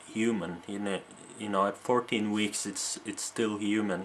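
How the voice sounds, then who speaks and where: A man with a Norwegian accent and fairly low pitch. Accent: faint Norwegian. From Norway. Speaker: video blogger. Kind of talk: casual monologue to camera. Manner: halting, many repetitions and fillers.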